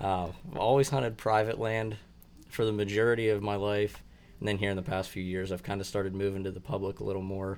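With a western Pennsylvania accent, a man talks at a very fast pace in a fairly low pitch with fairly even intonation. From Clarion County, Pennsylvania. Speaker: bow hunting contest moderator. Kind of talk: casual chat.

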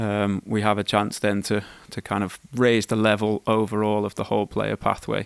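A man with a fairly low pitch talks at a moderate pace. The sound is dry and close, with no echo. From Wales, UK. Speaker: football club technical director. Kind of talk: interview.

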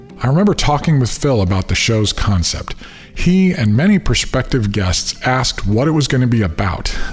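Over noticeable background noise, a man holds very even loudness at a medium pitch and moderate pace while making very wide pitch swings. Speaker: podcast host. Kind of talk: scripted narration.

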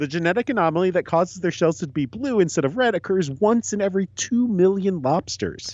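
A high-pitched man's voice with lively intonation at a fairly quick pace, with hardly any pauses. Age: 30s. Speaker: podcast co-host. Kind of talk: casual chat.

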